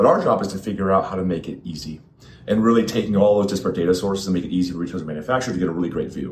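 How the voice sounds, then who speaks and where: Over noticeable background noise, a man with a very deep, low voice talks very fast with ordinary pitch variation. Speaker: industry executive guest. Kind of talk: interview.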